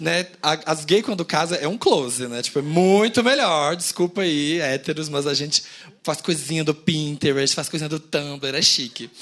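Here a man uses an ordinary speaking voice, pitched fairly high, with ordinary pitch variation. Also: moderate pace. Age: 30s. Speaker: podcast co-host. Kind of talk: live podcast recording. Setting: stage with audience.

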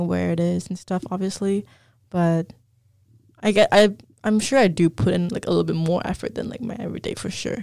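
A woman's dark, mellow voice at medium pitch, fairly quick, with ordinary pitch variation and big swings in loudness. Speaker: podcast co-host. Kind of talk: casual chat.

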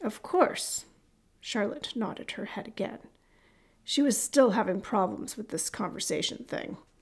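A woman with a fairly high, somewhat breathy voice speaks at a fairly slow pace with lively intonation. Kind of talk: audiobook narration of a fiction chapter. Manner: measured storyteller's pace, light wry tone, slight character voicing in dialogue.

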